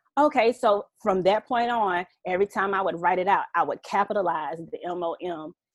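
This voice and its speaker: With lively intonation and a medium pitch, a woman speaks at a moderate pace in a dry, close recording with no echo. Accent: Southern US. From Southeast Georgia, US South. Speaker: author and mother. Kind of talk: casual chat.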